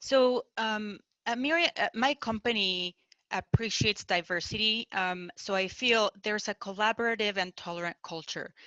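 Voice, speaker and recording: In a Mexican accent, a woman speaks at a moderate pace with a bright, sharp tone and ordinary pitch variation, and the sound is dry and close with no echo. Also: quiet background. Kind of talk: panel discussion.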